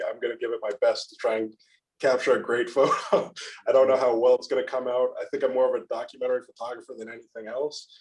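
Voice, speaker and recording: A man at a very fast pace. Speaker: photographer. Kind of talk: casual chat. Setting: podcast recording. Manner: monotone.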